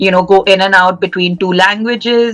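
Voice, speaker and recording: Music plays in the background. A woman speaks at a medium pitch with ordinary pitch variation. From India, Mumbai. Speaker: podcast co-host, MBA student. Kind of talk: casual chat. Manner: animated.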